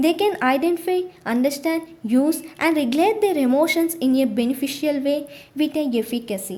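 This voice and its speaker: A woman with an Indian accent speaks in a high pitch at a moderate pace, her intonation lively. Her loudness is very even, and there is noticeable background noise. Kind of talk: audiobook reading.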